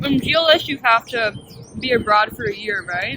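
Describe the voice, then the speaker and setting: The speech moves at a moderate pace, with noticeable background noise in the recording. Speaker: university student, show host. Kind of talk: casual chat. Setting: eating a meal on camera.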